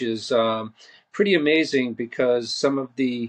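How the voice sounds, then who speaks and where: Speaking fairly slowly with a Boston accent, this man has a medium-pitched voice, fairly even intonation and a dry, close sound with no echo. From Boston, Massachusetts. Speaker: marine conservation nonprofit director. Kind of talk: podcast interview. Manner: halting, many fillers.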